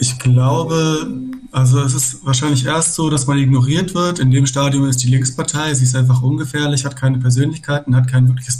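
A somewhat breathy man with a dark, mellow tone speaks in a medium pitch at a fairly quick pace. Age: 30s. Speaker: aspiring lawyer and activist. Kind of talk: casual political discussion.

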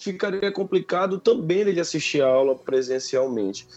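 At a moderate pace, a man with a plain, everyday voice speaks with lively intonation. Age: 30s. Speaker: university professor. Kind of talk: radio interview.

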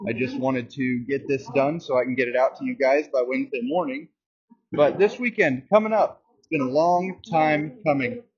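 A man with a fairly high pitch speaks at a moderate pace in an enthusiastic, somewhat breathy tone, with very wide pitch swings and big swings in loudness. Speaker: dirt racing podcast host. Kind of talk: solo podcast monologue. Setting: at work. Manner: casual, enthusiastic.

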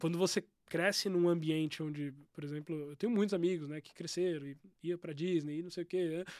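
Speaking at a fairly quick pace, a man with a high-pitched voice keeps his intonation fairly even on a very clean recording with a silent background. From São Paulo state, Brazil (São Bernardo do Campo). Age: 30s. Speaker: tech entrepreneur. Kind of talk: casual interview.

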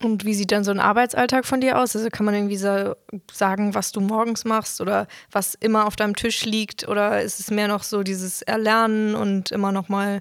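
At a moderate pace, a woman talks at a medium pitch with monotone, flat intonation. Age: young. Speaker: trainee, podcast host. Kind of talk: casual interview. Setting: studio, sitting face to face.

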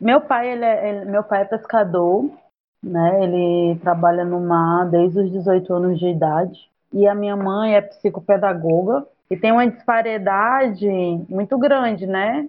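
A woman speaks at a fairly slow pace with ordinary pitch variation. Her pitch sits in the medium range. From Ceará, Brazil (Camocim). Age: 30s. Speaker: agronomy student and activist. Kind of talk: interview. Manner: halting.

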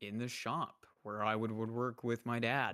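A man with a plain, everyday voice talks at a medium pitch and a fairly slow pace with fairly even intonation, in a very clean recording with a silent background and a dry, close sound with no echo. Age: 20s. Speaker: streamer, podcast guest. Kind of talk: casual chat.

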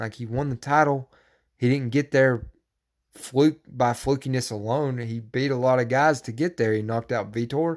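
This man has a normal speaking voice, medium in pitch, moving at a moderate pace with fairly even intonation. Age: 20s. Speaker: MMA podcast host. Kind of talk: casual solo podcast monologue. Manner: casual, profane, opinionated.

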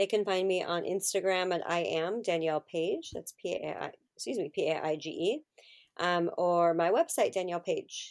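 At a moderate pace, a woman speaks in a very clean recording with a silent background. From California. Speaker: astrologer and spiritual guide. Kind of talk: casual chat. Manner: animated.

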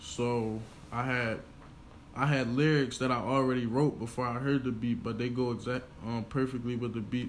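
In an American accent, a man of medium pitch talks at a fairly quick pace with monotone, flat intonation and audible room echo. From Pennsylvania, Chester. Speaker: rapper. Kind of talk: interview. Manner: hesitant, many fillers.

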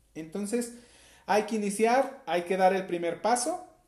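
A man's lively intonation carries through his fairly slow pace. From Mexico, southern Jalisco. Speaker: podcast host. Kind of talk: motivational monologue. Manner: hesitant, many fillers.

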